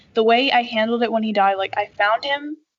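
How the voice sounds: Her tone is fairly bright, and this woman keeps her intonation fairly even.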